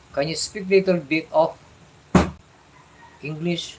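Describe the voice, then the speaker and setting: With a Filipino accent, a man speaks very slowly in a high voice, his intonation fairly even. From Philippines. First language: Tagalog. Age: 60s. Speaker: live streamer. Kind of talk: casual live chat. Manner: halting.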